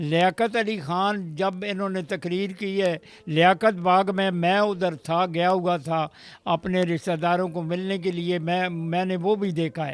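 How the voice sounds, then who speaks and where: The recording is very clean, with a silent background. A man speaks in a high pitch with fairly even intonation. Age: 80s+. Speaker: army veteran. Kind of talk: interview testimony. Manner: halting.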